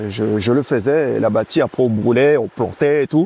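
An ordinary speaking voice from a man, medium in pitch, with ordinary pitch variation, a moderate pace and a dry, close sound with no echo. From French Guiana, Camopi. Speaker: athlete and entrepreneur. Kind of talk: casual chat.

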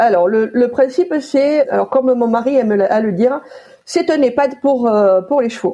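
This voice has a dark, mellow tone. It keeps a moderate pace with lively intonation. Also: woman, high pitch for a woman. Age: 40s. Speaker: horse stable manager. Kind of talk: interview.

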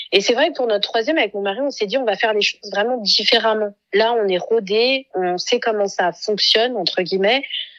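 A woman with a normal speaking voice and a fairly high pitch talks at a fairly quick pace with hardly any pauses and ordinary pitch variation. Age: 30s. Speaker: mother and content creator. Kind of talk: casual chat.

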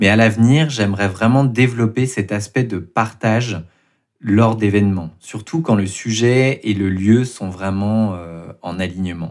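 Very clean recording, silent background, fairly slow pace. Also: man, fairly low pitch for a man, ordinary pitch variation. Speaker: podcast host and writer. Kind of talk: interview answers about creative process.

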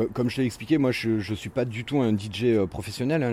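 Male speech, moderately paced, against noticeable background noise. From western France, near Saint-Nazaire. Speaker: electronic music fan, former festival organiser. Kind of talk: casual interview. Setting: outdoors on a home terrace. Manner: hesitant, repeats words.

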